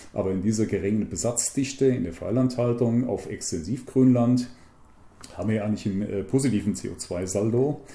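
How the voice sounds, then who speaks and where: A man's somewhat breathy voice with a dark, mellow tone, medium in pitch, with ordinary pitch variation at a moderate pace. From central Hesse, Germany. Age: 60s. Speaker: conservationist. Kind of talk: interview.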